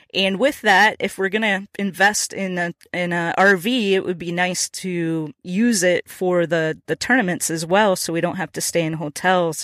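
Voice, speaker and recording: In an unremarkable speaking voice with an American accent, a woman at medium pitch talks at a moderate pace with ordinary pitch variation and hardly any pauses, in a very clean recording with a silent background and a dry, close sound with no echo. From Minnesota. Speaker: podcast host. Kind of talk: solo podcast monologue. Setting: in a truck.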